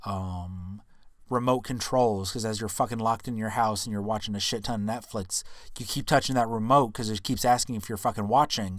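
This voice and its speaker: An unremarkable speaking voice from a man at medium pitch, fairly even in intonation, on a very clean recording with a silent background. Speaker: podcast host. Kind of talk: casual educational podcast monologue.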